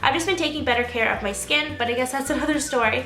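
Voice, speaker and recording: Music plays in the background behind a raised, projected voice. The pace is very fast, with ordinary pitch variation. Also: woman. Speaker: beauty vlogger. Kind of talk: casual talk to camera, product review.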